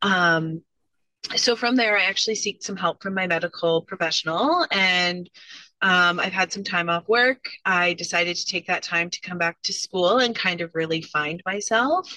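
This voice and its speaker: A woman with a Canadian accent speaks at a moderate pace in a bright, sharp, medium-pitched voice with ordinary pitch variation. The sound is dry and close, with no echo. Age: 30s. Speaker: college student and business owner. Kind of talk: interview.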